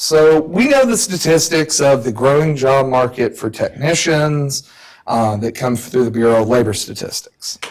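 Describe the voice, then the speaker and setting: A man with a Southern accent at a moderate pace, his pitch varying in an ordinary way. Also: fairly high pitch for a man. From US South. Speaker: professor. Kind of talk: lecture. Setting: stage with audience.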